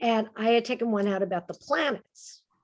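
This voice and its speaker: A woman is speaking. Her voice has vocal fry. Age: 60s. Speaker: humorist and professor. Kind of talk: casual chat. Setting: video call.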